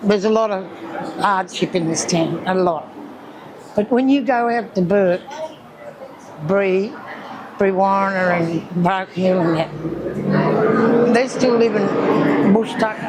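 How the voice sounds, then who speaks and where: Long, frequent pauses mark the very slow delivery, with noticeable background noise. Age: 70s. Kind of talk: interview testimony.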